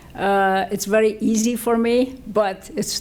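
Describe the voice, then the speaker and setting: A woman speaks with a Lebanese accent. Her pitch is fairly high. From Lebanon. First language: French or Arabic. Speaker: physician and medical researcher. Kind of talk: ceremony acceptance speech.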